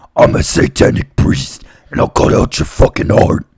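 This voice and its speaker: A man uses a raspy, put-on character voice at a moderate pace. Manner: menacing.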